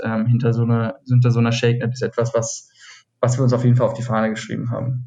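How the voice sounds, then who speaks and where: Music plays in the background while a man talks at a medium pitch. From Hesse, Taunus near Frankfurt. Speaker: cocktail event co-founder. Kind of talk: casual interview. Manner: hesitant, many fillers.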